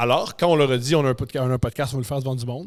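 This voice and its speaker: In a strong Quebec accent, a man speaks very fast at medium pitch. His tone is animated. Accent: strong Québécois. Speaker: comedian and podcaster. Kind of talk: casual interview chat. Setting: podcast studio.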